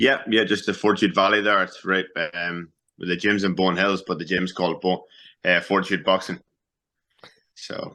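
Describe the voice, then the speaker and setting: Against a quiet background, a man with a very deep, low pitch and a bright, sharp tone speaks at a moderate pace. His intonation is fairly even, with long, frequent pauses. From Northern Ireland, Newry. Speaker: professional boxer. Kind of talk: interview.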